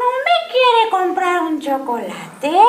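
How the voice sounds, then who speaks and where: Putting on a character voice at an extremely high pitch, a woman speaks at a fairly slow pace. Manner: diabolical, creepy.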